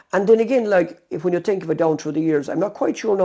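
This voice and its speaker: A man speaks in a West Cork accent at a very fast pace. His intonation is lively. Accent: West Cork Irish. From West Cork, Ireland. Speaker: former mobile shop owner. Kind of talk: oral history interview answer.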